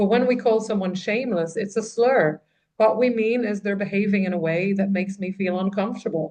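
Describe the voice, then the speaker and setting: With an Irish accent, a woman speaks at a fairly quick pace in a dark, mellow tone with fairly even intonation. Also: medium pitch for a woman. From Ireland. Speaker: trauma writer and coach. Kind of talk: podcast interview.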